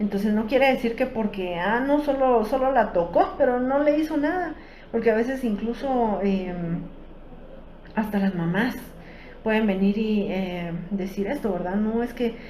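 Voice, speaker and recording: With a fairly high pitch and lively intonation, a woman speaks at a fairly slow pace. Noticeable background noise and audible room echo surround her voice. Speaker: psychologist giving a workshop talk. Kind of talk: educational workshop talk. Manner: hesitant, many fillers.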